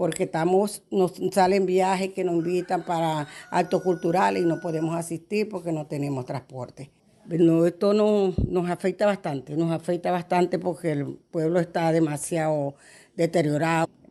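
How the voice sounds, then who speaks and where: This woman has an ordinary speaking voice, fairly low in pitch. She talks at a moderate pace with fairly even intonation. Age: 60s. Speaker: religious festival organizer. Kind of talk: interview testimony.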